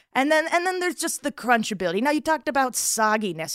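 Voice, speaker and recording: The sound is dry and close with no echo as a woman speaks with an American accent. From South Florida. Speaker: comedian. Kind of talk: comedic food debate.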